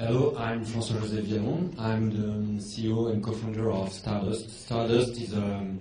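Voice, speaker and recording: Speaking at a moderate speed with fairly even intonation and a medium pitch, a man is heard with noticeable noise behind him and audible echo from the room. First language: French. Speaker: startup founder and CEO. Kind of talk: panel discussion. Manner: halting.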